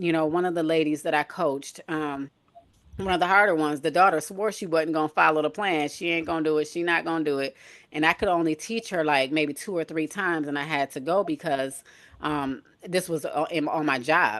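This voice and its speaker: With an American accent, a woman talks at a fairly quick pace in a very deep, low voice with fairly even intonation. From Michigan, US Midwest. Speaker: nurse and health coach. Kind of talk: casual chat. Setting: live stream.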